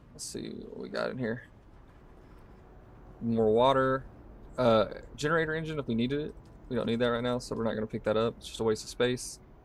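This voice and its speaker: A man with a Southern US accent, medium in pitch, fairly quick in pace, broken by long, frequent pauses. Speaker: gaming streamer. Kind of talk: live gameplay commentary. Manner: casual, talking while playing.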